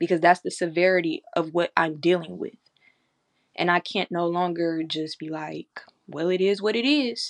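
Recorded with a dry, close sound and no echo, a normal speaking voice moves at a moderate pace with ordinary pitch variation. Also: woman, fairly low pitch for a woman. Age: 20s. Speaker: podcaster and spiritual worker. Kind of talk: casual spiritual talk. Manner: conversational with fillers.

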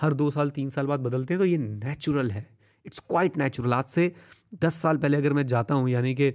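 On a very clean recording with a silent background, a man with a fairly high pitch speaks with ordinary pitch variation. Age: 30s. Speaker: motivational YouTuber. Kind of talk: motivational talk. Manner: animated.

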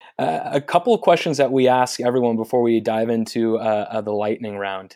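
Recorded very cleanly over a silent background, a man with an American accent speaks at a moderate pace, his medium-pitched voice dark and mellow. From Northern California, Marin area. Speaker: podcast host. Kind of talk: interview.

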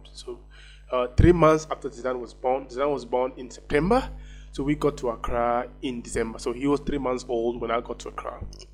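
Music sounds in the background. The talking goes at a fairly quick pace. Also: man. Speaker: podcast host. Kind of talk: personal storytelling monologue. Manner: halting.

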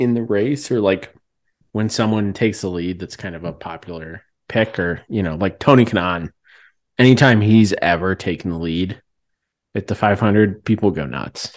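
A normal speaking voice from a man with an American accent, fairly low in pitch, with ordinary pitch variation and a quiet background. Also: moderate pace. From US Midwest, outside Indiana. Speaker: podcast co-host. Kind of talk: casual chat.

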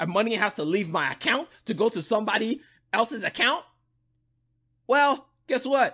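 An animated man's voice, raised and projected, with lively intonation and an American accent. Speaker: podcast host. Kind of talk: solo podcast monologue, casual news commentary. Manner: casual, conversational, animated.

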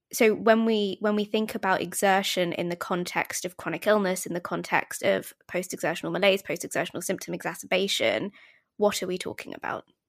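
Speaking fairly quickly with a British accent, a woman at a medium pitch uses fairly even intonation and vocal fry, recorded dry and close with no echo against a silent, very clean background. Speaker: podcast host. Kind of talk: interview intro and conversation.

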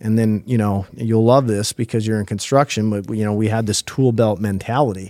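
With a Minnesota accent, a dark, mellow voice moves at a fairly quick pace with hardly any pauses and fairly even intonation, on a very clean recording with a silent background. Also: man, fairly low pitch for a man. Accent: Upper Midwest (Minnesota). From northwest Minnesota. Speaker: human resources executive, former educator. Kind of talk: interview conversation.

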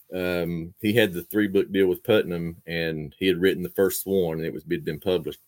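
A man with a very deep, low pitch and an Appalachian accent speaks at a moderate pace in a fairly even intonation, with hardly any pauses, in a dry, close sound with no echo. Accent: Appalachian Southern US. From Eastern Kentucky. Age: 40s. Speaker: fiction writer and poet. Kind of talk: casual interview.

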